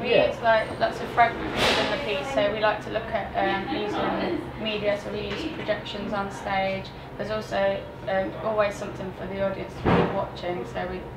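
A woman at a moderate pace with ordinary pitch variation, loud background noise behind her. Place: home room. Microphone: handheld.

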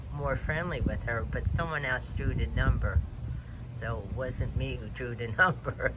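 Noticeable background noise accompanies a man who speaks at a fairly slow pace. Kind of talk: casual vlog chat. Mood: relaxed, reflective. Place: garden. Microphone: phone near.

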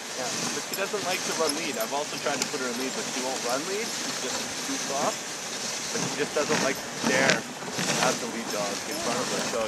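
Against loud background noise, a man talks at a moderate pace, the sound dry with no echo. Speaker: dog sled musher guide. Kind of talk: casual explanation to passengers. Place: open country. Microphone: camera far.

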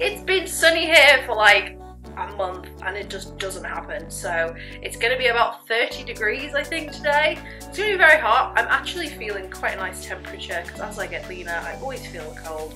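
A woman talking at a fairly quick pace, her loudness swinging widely, with clear music in the background. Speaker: fitness vlogger. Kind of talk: casual vlog chat. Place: kitchen. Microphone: phone near.

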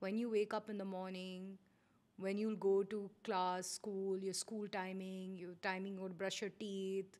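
A woman's fairly slow, monotone, flat delivery. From India, Kolkata; India. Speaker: eyewear business director; podcast guest. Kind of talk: casual interview. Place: studio. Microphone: studio mic.

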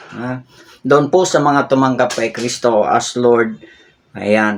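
A man with a medium pitch speaks very slowly, his pitch varying in an ordinary way. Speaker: Bible teacher. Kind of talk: sermon. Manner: halting, with many fillers.

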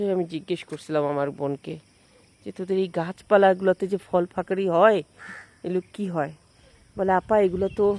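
A woman speaks at a medium pitch with fairly even intonation. The sound is dry and close, with no echo. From Bangladesh, Jessore. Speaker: vlogger. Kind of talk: casual vlog narration. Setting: outdoors.

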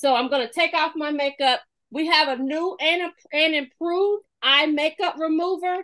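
A woman talks with an animated, bright and sharp tone at an extremely high pitch, with ordinary pitch variation. Her pace is moderate and the background is quiet. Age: 50s. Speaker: makeup consultant. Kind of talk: product demonstration. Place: home room. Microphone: webcam.

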